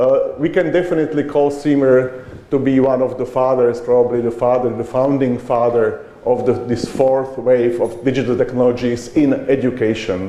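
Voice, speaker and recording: With hardly any pauses, a man speaks at a moderate pace and a medium pitch, his intonation fairly even. Audible room echo and noticeable background noise surround him. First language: not English. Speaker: conference speaker on education. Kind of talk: conference talk. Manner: halting, with hesitations.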